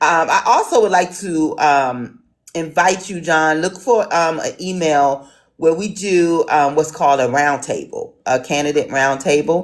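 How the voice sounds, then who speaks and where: Pitched fairly low, the woman speaks with an American accent. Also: ordinary pitch variation, fairly slow pace. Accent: city. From Washington DC. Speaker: town hall moderator. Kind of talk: online town hall moderation. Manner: hesitant, many fillers.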